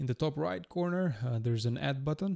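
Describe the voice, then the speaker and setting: Somewhat breathy and dark, mellow in tone, a man speaks with a non-native accent in a dry, close recording with no echo. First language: not English. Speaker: iOS developer, tutorial creator. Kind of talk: tutorial. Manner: hesitant, many uh fillers.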